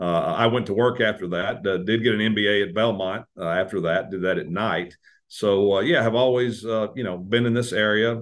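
A man talks at a fairly quick pace with a fairly low pitch. He has a Tennessee accent. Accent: Tennessee Southern American. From US South, Tennessee (Madison, near Nashville). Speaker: congressional staff member. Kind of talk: interview.

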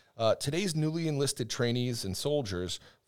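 With an American accent, a man talks at a fairly quick pace in a normal speaking voice with ordinary pitch variation. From US Northeast. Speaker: podcast co-host, army public affairs sergeant. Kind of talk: interview. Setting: studio.

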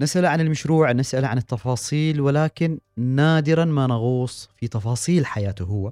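With a dark, mellow tone and a fairly high pitch, a man speaks at a moderate pace in a dry, close sound with no echo. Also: ordinary pitch variation, hardly any pauses. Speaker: radio host. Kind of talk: radio interview.

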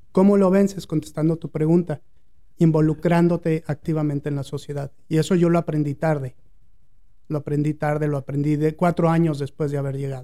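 At a fairly quick pace, a man with a fairly high pitch speaks in a dark, mellow tone with monotone, flat intonation. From Mexico City. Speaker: advertising agency owner. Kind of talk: interview.

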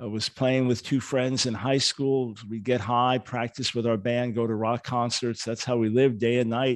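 A man's medium-pitched, monotone, flat voice at a moderate pace. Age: 60s. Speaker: author and ministry leader. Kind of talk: podcast interview, storytelling.

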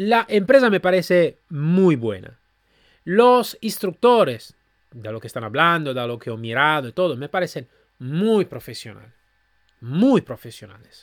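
A man with a fairly high pitch speaks at a fairly slow pace, his loudness swinging widely and his pitch ranging very widely, in a very clean, dry, close recording with a silent background and no echo. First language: Italian (speaking Spanish). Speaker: podcast host reviewing training companies. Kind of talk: solo commentary review. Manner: halting, with fillers.

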